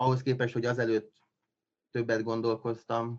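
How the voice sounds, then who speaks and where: His intonation is fairly even. The man's pace is very slow. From Transylvania, Romania (Csíkszereda). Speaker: scientific assistant editor. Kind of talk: casual interview. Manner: halting, many fillers and repetitions.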